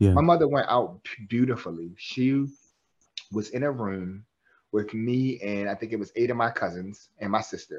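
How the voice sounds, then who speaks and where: An unremarkable speaking voice from a man, medium in pitch with ordinary pitch variation, at a moderate pace against a quiet background. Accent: American. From US, West Baltimore, Maryland. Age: 30s. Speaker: clinical social worker and therapist. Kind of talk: interview conversation.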